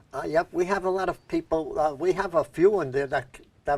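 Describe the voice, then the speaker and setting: A man with a New York accent speaks at a moderate pace in a fairly high voice with ordinary pitch variation. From New York, Brooklyn. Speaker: community TV talk show host. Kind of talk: casual interview chat; show sign-off.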